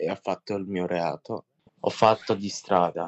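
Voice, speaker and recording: A man talking at a fairly slow pace. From Russia, raised in Italy from age 8. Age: 20s. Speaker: young offender in rehabilitation community. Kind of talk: testimony.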